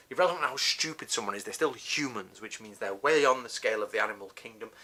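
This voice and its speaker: A man with a Northern English accent talks at a fairly quick pace in a bright, sharp tone. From northern England. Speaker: martial arts teacher. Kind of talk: tutorial. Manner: casual, conversational with self-corrections.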